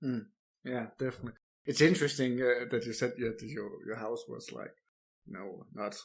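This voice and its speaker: This is a man with a medium pitch. He speaks in a Danish accent. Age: 30s. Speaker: podcast host. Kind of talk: interview. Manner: halting, repeats words.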